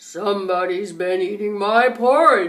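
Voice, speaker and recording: In a put-on character voice, a woman speaks at a fairly slow pace. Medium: read story.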